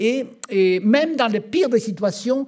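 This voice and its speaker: Lively intonation marks a man's speech in an Argentine accent. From Argentina. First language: Spanish (speaking French). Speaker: physician. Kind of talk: conference talk. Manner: halting.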